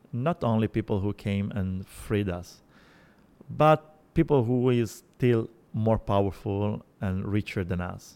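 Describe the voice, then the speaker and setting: A man speaks very slowly in an Italian accent. His pitch is fairly low. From Sicily, Italy. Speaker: journalist. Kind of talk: interview. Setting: restaurant. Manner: halting.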